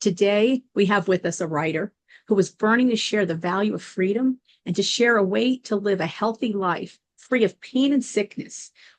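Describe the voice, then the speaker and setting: With a normal speaking voice, a woman talks at a moderate pace and medium pitch, her pitch varying in an ordinary way. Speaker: podcast host. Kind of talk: interview host questions.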